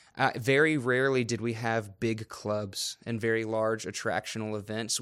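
A man with an American accent and an ordinary speaking voice speaks at a medium pitch and moderate pace with fairly even intonation, on a very clean recording with a silent background. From North Carolina, Raleigh. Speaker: youth director. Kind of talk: interview testimony.

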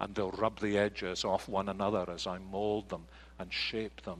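A man speaks with a Scottish accent at a moderate pace. The background is quiet. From Scotland. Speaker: pastor. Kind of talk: sermon. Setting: church.

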